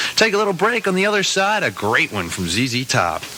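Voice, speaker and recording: With an American accent, a man talks at a moderate pace and swings his pitch very widely. Noticeable background noise is audible. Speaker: radio DJ. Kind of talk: radio DJ air check, rock station. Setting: radio broadcast.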